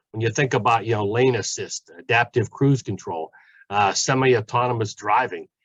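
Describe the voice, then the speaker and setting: Speaking at a fairly quick pace with a Pittsburgh accent, a man shows ordinary pitch variation in a dry, close sound with no echo over a quiet background. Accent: western Pennsylvania (Pittsburgh) English. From Pittsburgh, western Pennsylvania. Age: 60s. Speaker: community college automotive professor. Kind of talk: panel talk. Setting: webinar.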